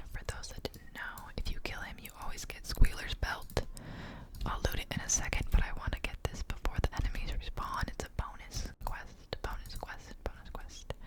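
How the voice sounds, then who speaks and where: Whispering in a relaxed tone at a moderate pace, with noticeable background noise. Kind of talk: ASMR gaming commentary to camera, casual rambling. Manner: whispered, soft-spoken, relaxed.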